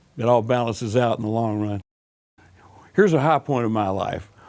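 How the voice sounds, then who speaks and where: At a fairly quick pace, a man with a Southern US accent speaks at a medium pitch with fairly even intonation. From US South, Alabama. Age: 60s. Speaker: blues musician. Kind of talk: interview.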